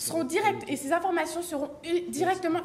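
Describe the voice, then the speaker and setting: Pitch shifts in a normal way. The pace is moderate. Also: woman. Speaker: student debater. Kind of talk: competitive debate speech. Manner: formal; halting, frequent self-corrections.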